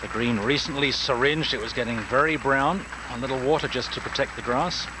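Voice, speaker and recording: Noticeable background noise and audible room echo surround this man's voice. He speaks at a fairly quick pace with a medium pitch and fairly even intonation. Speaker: golf commentator. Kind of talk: live commentary. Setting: commentary tower beside the course. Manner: soft-spoken.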